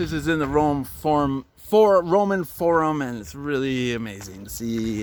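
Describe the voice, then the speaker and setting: A man talks at a medium pitch with very wide pitch swings. Noticeable background noise runs underneath. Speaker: travel vlogger. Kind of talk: walking tour vlog. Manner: loud; casual, hesitant with fillers.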